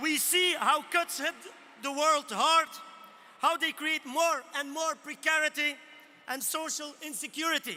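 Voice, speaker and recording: At an extremely high pitch, a man projects his raised voice with fairly even intonation, moving at a fairly slow pace with long, frequent pauses. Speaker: trade union leader. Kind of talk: rally speech. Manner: rousing.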